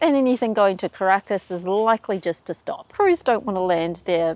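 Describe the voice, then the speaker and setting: A woman with a New Zealand accent speaks at a medium pitch with lively intonation. The recording is very clean and dry, close with no echo, over a silent background. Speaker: travel YouTuber. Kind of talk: explainer video.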